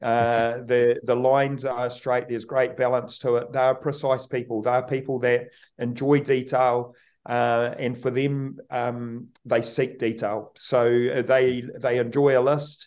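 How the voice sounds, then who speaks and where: Over a quiet background, a man speaks at a very slow pace in a monotone, flat intonation. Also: medium pitch for a man. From New Zealand, rural Kaikoura. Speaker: rugby team manager. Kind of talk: podcast interview.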